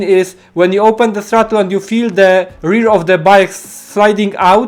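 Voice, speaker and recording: A man with a non-native accent speaks in a monotone, flat way. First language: not English. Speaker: motorcycle racing coach. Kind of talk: tutorial. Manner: halting, many fillers.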